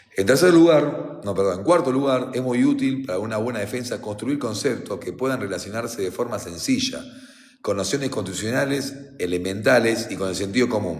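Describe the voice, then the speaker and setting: Room echo and noticeable background noise are audible. Over them, a man speaks with lively intonation. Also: medium pitch for a man, fairly quick pace. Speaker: defense lawyer. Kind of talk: reading aloud with commentary. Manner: fast; halting.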